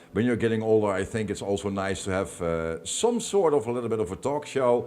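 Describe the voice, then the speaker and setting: A man's fairly low-pitched voice at a moderate pace, with a Dutch accent. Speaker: DJ and talk show host. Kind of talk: casual chat.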